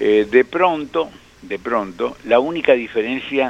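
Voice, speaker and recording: A man talks very slowly, with clearly audible background noise behind him. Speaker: motorsport engineer and commentator. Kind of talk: radio interview.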